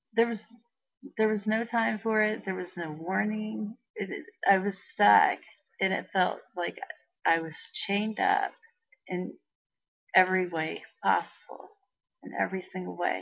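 A woman talks at a fairly slow pace with long, frequent pauses. The background is quiet. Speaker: vlogger. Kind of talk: casual vlog chat. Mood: distressed but laughing at times. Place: home room. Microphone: webcam.

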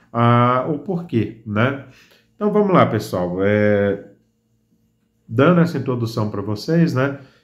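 Very slowly and with long, frequent pauses, a man of medium pitch speaks with lively intonation amid audible room echo. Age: 30s. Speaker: fishing YouTuber. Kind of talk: tutorial. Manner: casual, hesitant with fillers.

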